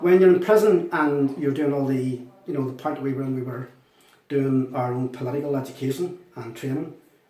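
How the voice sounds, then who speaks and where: Talking at a very fast pace, a man with a Northern Irish accent has a fairly high pitch. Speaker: former republican prisoner. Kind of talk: testimony.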